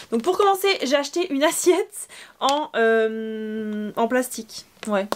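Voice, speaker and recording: A woman speaks at a very slow pace. Her high pitch makes very wide swings. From Normandy, France. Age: 20s. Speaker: beauty youtuber and pageant queen. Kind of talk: casual haul vlog. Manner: chatty, hesitant with fillers.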